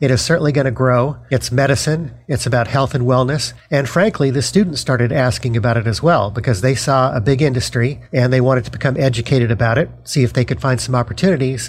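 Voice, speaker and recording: A man with a General American accent speaks at a very fast pace with hardly any pauses and very even loudness. His medium-pitched voice shows vocal fry and ordinary pitch variation. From Denver, Colorado. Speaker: university lecturer and author. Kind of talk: interview.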